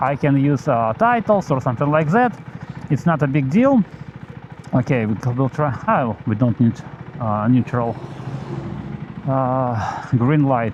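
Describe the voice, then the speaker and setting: Pausing long and often, a man talks at a fairly slow pace in a medium pitch with ordinary pitch variation and very even loudness over noticeable background noise. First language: Belarusian and Russian. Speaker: motovlogger. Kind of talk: casual vlog while riding. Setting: outdoors on motorcycle in rain. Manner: halting, many fillers.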